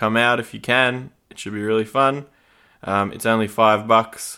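Over a silent background in a very clean recording, a man with an Australian accent talks in a fairly low, bright, sharp tone with monotone, flat intonation. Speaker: podcast host. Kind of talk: casual interview chat. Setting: recorded at guest's house.

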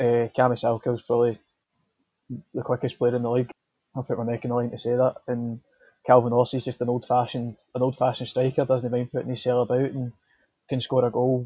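A man speaks at a very fast pace but with long, frequent pauses, his medium-pitched voice monotone and flat. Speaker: football journalist. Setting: interview.

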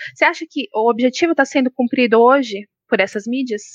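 The sound is dry and close with no echo as a woman speaks at a high pitch with ordinary pitch variation. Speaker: podcast moderator, journalist. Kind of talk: interview.

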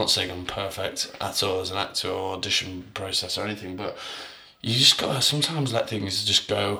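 Over noticeable background noise, a man talks at a fairly quick pace with a fairly low pitch and ordinary pitch variation. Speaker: actor and musician. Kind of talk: casual chat.

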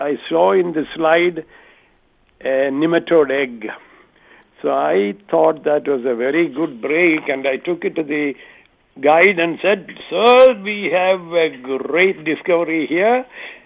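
A man with an Indian accent, fairly high in pitch, with ordinary pitch variation and a very slow pace. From southern India. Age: 80s+. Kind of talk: testimony. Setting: phone call.

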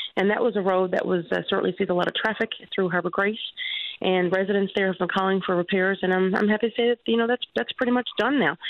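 A woman with a Newfoundland accent talks at a very fast pace. Her tone is upbeat and her pitch sits in the middle range. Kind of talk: radio interview. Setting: phone call.

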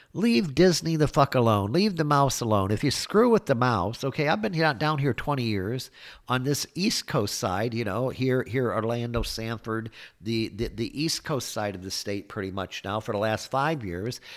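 In a very clean recording with a silent background, a man speaks at a moderate pace with medium pitch and lively intonation. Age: 50s. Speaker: political podcast host. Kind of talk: political rant monologue. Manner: animated.

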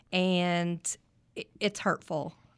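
Very slowly, a woman speaks at a fairly low pitch with a West Texas accent. The recording is very clean with a silent background. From West Texas, Midland. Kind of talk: interview. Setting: studio.

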